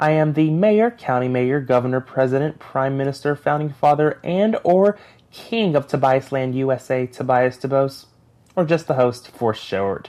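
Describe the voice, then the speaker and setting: A man with an American accent speaks at a fairly high pitch in a dark, mellow tone. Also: ordinary pitch variation, moderate pace. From US South, Knoxville, Tennessee. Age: 20s. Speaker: podcast host. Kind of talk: casual monologue.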